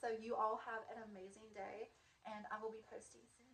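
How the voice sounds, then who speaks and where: Against noticeable background noise, a woman with a fairly high pitch speaks in a monotone, flat way at a moderate pace. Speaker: vlogger. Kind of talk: casual vlog monologue. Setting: in her student housing room. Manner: chatty, many fillers. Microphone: wonky mic, may be quiet.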